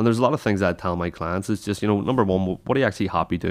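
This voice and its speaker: A Northern Irish accent comes through on a very clean recording with a silent background. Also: man. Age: 20s. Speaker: podcast host and personal trainer. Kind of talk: casual chat. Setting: studio.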